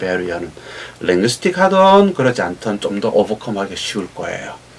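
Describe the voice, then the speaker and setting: A man's very fast speech with very wide pitch swings over noticeable background noise. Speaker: professor. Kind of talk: interview.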